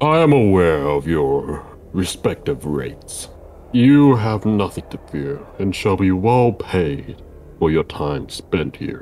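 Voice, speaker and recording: Against clear background noise, a man uses a put-on character voice with a very deep, low pitch at a fairly slow pace. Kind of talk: stiff, lofty speech. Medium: game stream. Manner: formal, imperious, cold.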